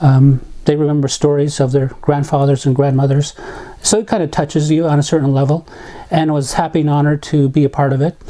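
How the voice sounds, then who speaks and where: A man with a fairly high pitch at a very fast pace, monotone, flat intonation and very even loudness. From Navajo reservation, US Southwest. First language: Navajo. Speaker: community volunteer. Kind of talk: interview testimony. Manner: reflective, with hesitations.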